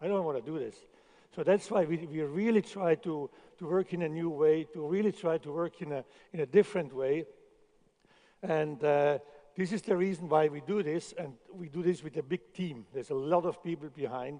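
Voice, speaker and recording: A man with a non-native accent and a dark, mellow tone speaks at a moderate pace, his fairly high pitch showing ordinary variation. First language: not English. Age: 60s. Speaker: chef. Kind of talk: conference talk. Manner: halting, with repetitions.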